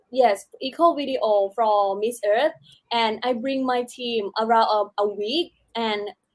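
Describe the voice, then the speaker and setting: This woman speaks with a Thai accent. Her pitch is high. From southern Thailand, Chumphon. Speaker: beauty pageant contestant. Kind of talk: casual interview. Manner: halting.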